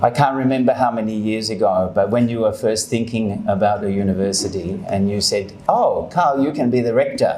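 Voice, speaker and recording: With an Australian accent and lively intonation, a man speaks amid noticeable background noise and audible room echo. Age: 60s. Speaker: university rector. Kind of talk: acceptance speech. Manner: hesitant, with fillers.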